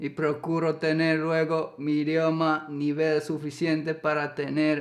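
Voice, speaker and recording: A man talks with a Finnish accent. His pace is very slow. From Finland. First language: Finnish (speaking Spanish). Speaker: YouTuber, co-host of a couple's channel. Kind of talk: casual storytelling chat. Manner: halting.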